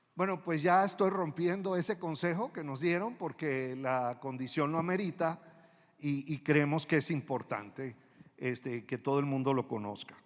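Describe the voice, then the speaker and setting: With lively intonation, a man's fairly high voice moves along at a moderate pace. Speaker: museum director and ecologist. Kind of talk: formal presentation. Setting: auditorium before university council. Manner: hesitant, many fillers.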